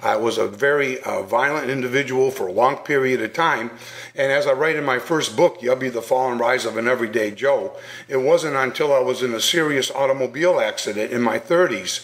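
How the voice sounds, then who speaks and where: Fairly quick pace from a man, medium pitch, ordinary pitch variation, noticeable background noise. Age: 60s. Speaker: bullying prevention speaker and author. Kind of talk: radio interview.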